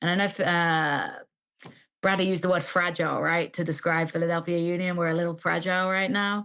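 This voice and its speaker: A woman with an English accent speaks at a fairly quick pace in a bright, sharp tone. Her intonation is monotone and flat, her loudness very even, and the recording very clean with a silent background. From England. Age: 30s. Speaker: football commentator. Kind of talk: casual chat.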